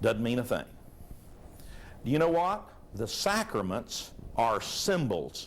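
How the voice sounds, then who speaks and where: Very wide pitch swings from a male speaker, with audible room echo around him. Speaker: preacher. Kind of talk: sermon. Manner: conversational, rhetorical questions to audience.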